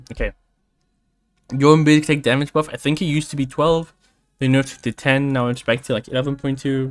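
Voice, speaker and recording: Over music in the background, a man with a fairly high pitch speaks at a fairly quick pace with monotone, flat intonation and long, frequent pauses. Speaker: gaming streamer. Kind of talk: patch notes review. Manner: casual.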